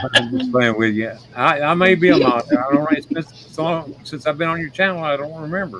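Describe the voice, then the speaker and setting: Delivered at a fairly quick pace with hardly any pauses, the speech shows ordinary pitch variation over noticeable background noise. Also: man, fairly high pitch for a man. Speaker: streamer and show guest. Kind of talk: casual chat. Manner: halting, sometimes slurred speech.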